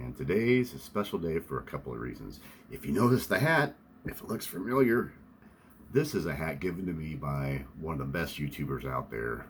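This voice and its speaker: Fairly quick speech in an American accent, with very wide pitch swings and big swings in loudness. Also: man, very deep, low pitch for a man. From Lawrence, Kansas. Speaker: vintage sports card collector. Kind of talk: casual talk to camera.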